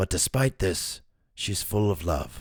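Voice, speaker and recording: This man talks at a moderate pace. He puts on a character voice. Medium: read story. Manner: warm, composed.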